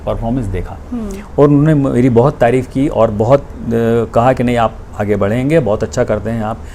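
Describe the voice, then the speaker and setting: A man's voice over noticeable background noise. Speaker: retired senior radio announcer; voice-over artist and theatre actor. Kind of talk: interview answer.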